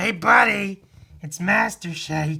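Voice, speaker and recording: In a put-on character voice, the speaker sounds gravelly and raspy at a middle pitch. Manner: casual, buddy-like.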